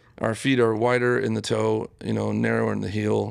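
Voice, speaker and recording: A very clean recording against total silence carries speech at a moderate speed. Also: man. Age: 40s. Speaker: sock product designer. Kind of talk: casual interview.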